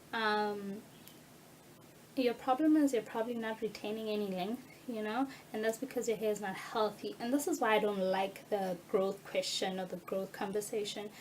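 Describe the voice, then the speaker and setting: Over noticeable background noise, a woman speaks at a fairly high pitch and moderate pace with ordinary pitch variation. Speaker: natural hair YouTuber. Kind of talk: tutorial. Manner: animated.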